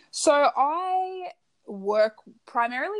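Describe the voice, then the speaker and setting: Heard on a very clean recording with a silent background, a woman speaks with an Australian accent. Her pitch variation is ordinary. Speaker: personal branding coach. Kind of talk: interview.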